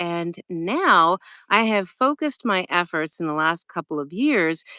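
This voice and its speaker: A woman with an American accent speaks at a fairly slow pace, her bright, sharp voice swinging very widely in pitch, recorded dry and close with no echo against a quiet background. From Wyoming, USA. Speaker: voice over artist and live streaming coach. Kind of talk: interview host.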